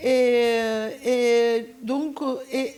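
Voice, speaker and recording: A woman with a high-pitched voice. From Turkey. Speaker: sociologist and activist. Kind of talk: conference talk. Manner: halting, many hesitations.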